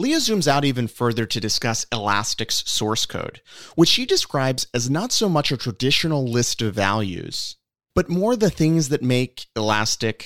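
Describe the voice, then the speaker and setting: Recorded very cleanly with a silent background, a normal speaking voice moves at a moderate pace with lively intonation. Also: man, medium pitch for a man, dry, close sound with no echo. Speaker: podcast host, venture capital partner. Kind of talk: interview.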